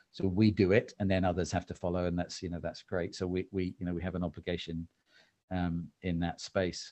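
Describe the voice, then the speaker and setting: In an English accent, a man speaks at a very deep, low pitch and a fairly quick pace, with a dark, mellow tone and monotone, flat intonation against a quiet background. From England. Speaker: marketing executive. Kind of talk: interview conversation. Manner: calm.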